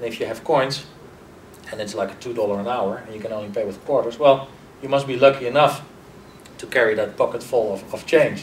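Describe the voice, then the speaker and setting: Over noticeable background noise and audible room echo, a man with a European accent talks at a fairly quick pace and medium pitch. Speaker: marketing executive. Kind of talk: interview. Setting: conference.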